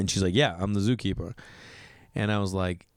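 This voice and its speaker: A man with an American accent speaks in an animated tone. The recording is very clean, dry and close with no echo, over a silent background. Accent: Boston accent, currently strong. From Massachusetts, Boston area. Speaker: comedian. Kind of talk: casual podcast storytelling.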